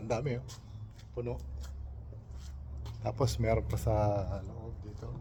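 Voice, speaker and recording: A man's dark, mellow voice, fairly low in pitch, with vocal fry and a fairly slow pace. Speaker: vlogger. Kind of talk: casual vlog narration. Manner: soft-spoken.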